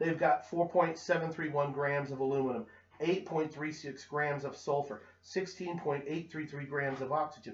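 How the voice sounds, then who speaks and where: A man with an ordinary speaking voice and a fairly high pitch keeps a moderate pace, his pitch varying in an ordinary way. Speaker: chemistry teacher. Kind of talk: tutorial.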